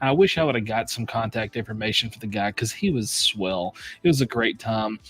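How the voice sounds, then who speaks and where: A man's plain, everyday voice with an American accent, medium pitch and ordinary pitch variation, at a fairly quick pace on a very clean recording with a silent background. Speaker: whiskey reviewer, stream host. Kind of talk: casual chat. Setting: live stream.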